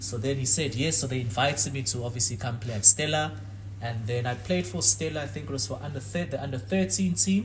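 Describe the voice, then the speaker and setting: A man at medium pitch and a very fast pace, ordinary pitch variation, audible room echo and background music. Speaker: former professional footballer. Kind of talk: podcast interview.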